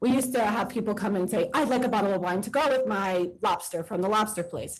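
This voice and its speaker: A normal speaking voice from a woman, fairly high in pitch, with lively intonation. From New York City, Queens. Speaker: wine bar owner. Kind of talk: testimony. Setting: board meeting hearing room.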